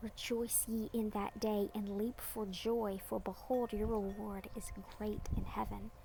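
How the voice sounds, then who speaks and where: Speaking at a fairly slow pace with hardly any pauses, a woman with an American accent uses a fairly high pitch and monotone, flat intonation. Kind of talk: Bible chapter reading.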